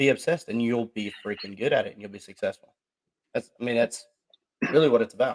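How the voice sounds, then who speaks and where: In a dry, close recording with no echo, a man with an American accent and a medium pitch talks very fast with ordinary pitch variation, big swings in loudness, and long, frequent pauses. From US South, Georgia. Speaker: podcast co-host. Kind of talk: casual chat. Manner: animated.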